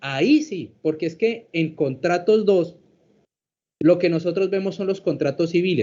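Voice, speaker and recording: Pitched fairly high, a man speaks in a plain, everyday voice, his pitch varying in an ordinary way. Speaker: law professor. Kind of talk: lecture.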